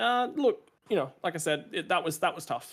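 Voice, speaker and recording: With an Australian accent, a man talks at a fairly quick pace in a very clean recording with a silent background. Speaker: sim racing driver. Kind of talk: post-race interview. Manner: hesitant, many fillers and repeats.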